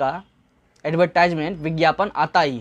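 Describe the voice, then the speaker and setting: The setting is quiet. A man talks with ordinary pitch variation. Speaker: online earnings youtuber. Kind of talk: tutorial. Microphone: lapel.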